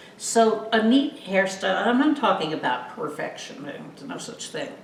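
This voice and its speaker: Very wide pitch swings and big swings in loudness at a moderate pace, with audible room echo and noticeable background noise. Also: woman, fairly high pitch for a woman. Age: 70s. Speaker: wig customer. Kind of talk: casual chat.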